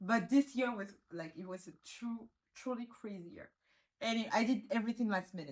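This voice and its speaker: A somewhat breathy woman with a French accent speaks at a moderate pace. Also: fairly high pitch for a woman, ordinary pitch variation, big swings in loudness. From Réunion Island. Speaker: law graduate living abroad. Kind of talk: casual interview chat. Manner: halting, frequent restarts and fillers.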